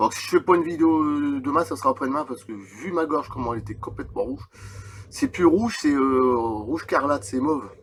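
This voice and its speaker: Fairly high male voice, fairly quick and with lively intonation, over noticeable background noise. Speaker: YouTuber reading UFO accounts. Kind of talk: reading aloud with comments; casual chat. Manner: halting.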